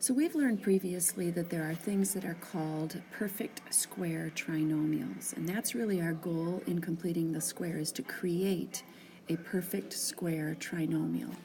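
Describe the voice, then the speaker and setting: Soft-spoken and fairly low in pitch, a woman talks with hardly any pauses over noticeable background noise. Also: ordinary pitch variation, fairly slow pace. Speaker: math teacher. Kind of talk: tutorial. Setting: tire shop waiting area. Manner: hesitant with fillers.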